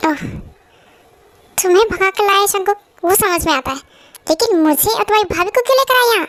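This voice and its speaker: A squeaky, put-on character voice at a fairly quick pace, with lively intonation and long, frequent pauses. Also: woman, extremely high pitch for a woman. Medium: fan dub. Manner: reproachful, demanding.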